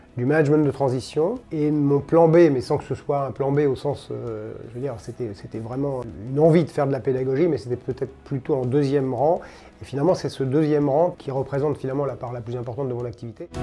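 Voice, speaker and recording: Speaking at a fairly quick pace, a man has a dark, mellow tone, a medium pitch and fairly even intonation. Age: 60s. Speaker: finance consultant and business school teacher. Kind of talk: testimony interview. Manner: hesitant, many fillers.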